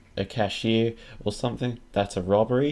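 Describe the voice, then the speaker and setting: The pace is fairly slow. The recording is very clean, with a silent background. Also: man. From Australia. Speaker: podcast host. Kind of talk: casual podcast chat.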